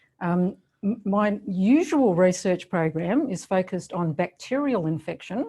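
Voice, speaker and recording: Somewhat breathy, this woman has a fairly low pitch, a dark, mellow tone and a strong Australian accent. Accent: Australian, still strong. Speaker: professor. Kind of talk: lecture. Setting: video call.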